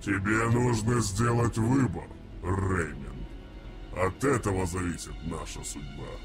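Clear background noise runs under the speech. The pace is fairly slow, with long, frequent pauses. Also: man, fairly low pitch for a man. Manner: cryptic, cold.

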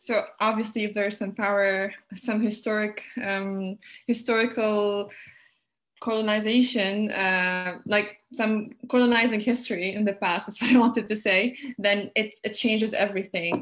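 Against a quiet background, a woman with a fairly high pitch speaks at a moderate pace in a monotone, flat intonation. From Tunisia. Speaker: panelist with migration experience; panelist. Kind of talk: panel discussion. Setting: video call. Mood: thoughtful, engaged. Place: home room. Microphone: webcam.

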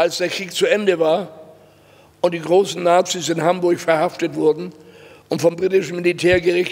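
A high-pitched man speaks at a moderate pace in a flat monotone, with long, frequent pauses. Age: 80s+. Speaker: Holocaust survivor and lecturer. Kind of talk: public lecture to students. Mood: grave, earnest. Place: hall. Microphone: podium.

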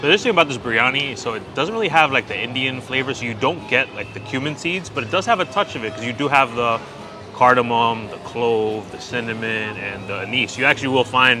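This man talks at a very fast pace. Music plays clearly behind him. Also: ordinary pitch variation. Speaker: food vlogger. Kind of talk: casual food review commentary. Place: market. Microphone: phone near.

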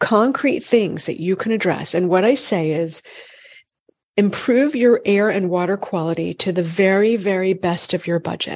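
An unremarkable speaking voice from a woman with an American accent, medium in pitch, moderate in pace, with lively intonation. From Massachusetts. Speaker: functional medicine gynecologist. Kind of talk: interview.

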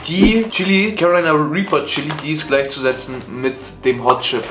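The recording has audible room echo, with clear music in the background. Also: man. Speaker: content creator. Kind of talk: casual vlog chat. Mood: in pain, groaning. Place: home room. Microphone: earbuds.

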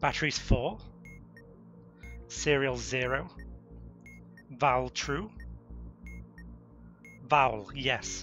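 Over music in the background, a man with a British accent speaks very slowly at a medium pitch, with ordinary pitch variation and long, frequent pauses. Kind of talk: voice commands to a game bot.

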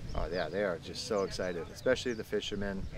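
A man talks at a very fast pace in a very deep, low voice, the sound dry with no echo and noticeable background noise behind him. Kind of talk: interview answer. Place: waterside.

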